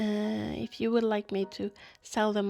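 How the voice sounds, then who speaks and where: The voice has a dark, mellow tone and a Norwegian accent. It moves at a fairly slow pace. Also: woman. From Norway. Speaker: bullet journal YouTuber. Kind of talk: voice-over narration. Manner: halting, many fillers.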